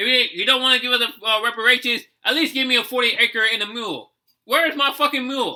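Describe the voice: With an American accent, a man talks at an extremely high pitch in a bright, sharp tone.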